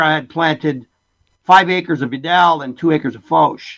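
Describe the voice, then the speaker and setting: An ordinary speaking voice from a man, fairly high in pitch, with fairly even intonation at a moderate pace. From Essex County, southwestern Ontario, Canada. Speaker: winemaker. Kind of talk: interview. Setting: remote call.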